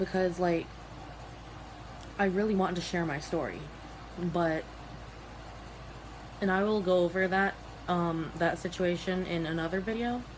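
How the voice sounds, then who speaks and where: A woman speaks at a moderate pace with fairly even intonation and long, frequent pauses. There is audible room echo. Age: young. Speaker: vlogger. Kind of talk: personal vlog. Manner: halting.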